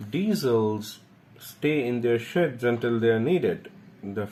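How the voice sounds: The intonation rises and falls in a lively way. It comes in a natural reading voice.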